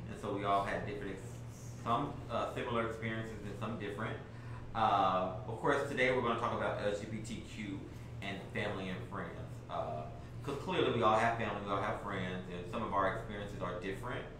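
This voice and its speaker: Over noticeable background noise and audible room echo, a man speaks in a fairly low pitch with ordinary pitch variation. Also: fairly quick pace. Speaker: panel moderator. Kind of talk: panel discussion moderation. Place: meeting room.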